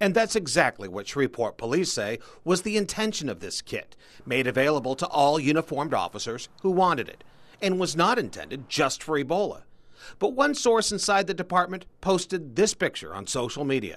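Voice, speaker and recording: With an American accent, a high-pitched man talks at a fairly quick pace. His pitch swings very widely. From United States. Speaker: television news anchor and reporter. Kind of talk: television news anchor delivery. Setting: TV studio and field reporting.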